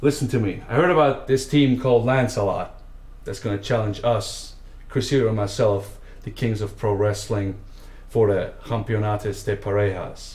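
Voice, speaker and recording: Vocal fry in a man's medium-pitched voice, with ordinary pitch variation and a moderate pace. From Switzerland. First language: not English (fourth language). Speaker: pro wrestler. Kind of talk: wrestling promo.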